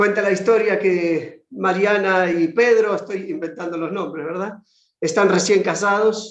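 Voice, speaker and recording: One man talks in a high pitch with ordinary pitch variation. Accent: Buenos Aires. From Argentina, Buenos Aires. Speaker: conference speaker on discipleship. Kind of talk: lecture.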